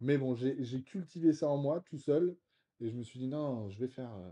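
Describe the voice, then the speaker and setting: A man of medium pitch speaks in a dark, mellow tone with big swings in loudness. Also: ordinary pitch variation, fairly slow pace. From Brittany, France (Vannes). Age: 30s. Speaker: real estate investor. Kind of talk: casual interview. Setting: apartment. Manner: hesitant, many fillers.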